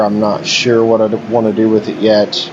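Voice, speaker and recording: Noticeable background noise behind a man's fairly slow speech in an American accent. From West Virginia. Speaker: gaming YouTuber. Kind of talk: gameplay commentary. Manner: casual, conversational.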